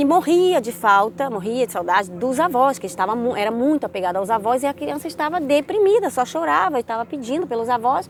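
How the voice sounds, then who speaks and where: Fairly quick, high-pitched woman's speech with very wide pitch swings, hardly any pauses and noticeable background noise. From Brazil, Rio de Janeiro. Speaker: vlogger. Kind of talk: casual vlog talk. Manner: conversational, with many fillers.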